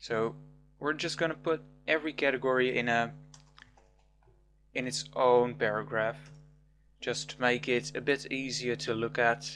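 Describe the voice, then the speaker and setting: With a non-native accent and music in the background, the speaker moves at a moderate pace with long, frequent pauses. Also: man. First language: not English. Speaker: programming tutor. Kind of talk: tutorial.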